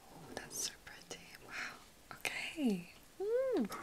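A woman is whispering. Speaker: makeup roleplay host. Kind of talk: soft-spoken roleplay talk to viewer. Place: home room.

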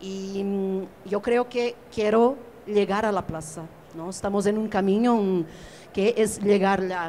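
A woman's very slow speech with fairly even intonation and light background noise. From Portugal. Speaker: curator; panelist. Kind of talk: panel discussion. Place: hall.

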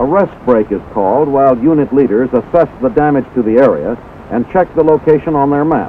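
A man with a plain, everyday voice speaks at a fairly quick pace and a fairly high pitch, with ordinary pitch variation. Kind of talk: scripted newsreel narration. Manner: formal, brisk, authoritative announcer delivery.

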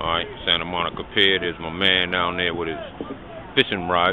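Over noticeable background noise, a man speaks with a very deep, low pitch in a dry sound with no echo. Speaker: amateur vlogger. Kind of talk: casual vlog chat. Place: waterside. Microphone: phone near.

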